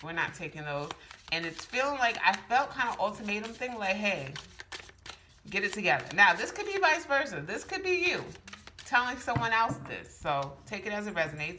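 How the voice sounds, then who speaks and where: Speaking at a fairly quick pace, a woman uses a medium pitch with very wide pitch swings. The recording has audible room echo and noticeable background noise. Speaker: tarot reader. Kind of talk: tarot reading. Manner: fast; casual, halting with fillers.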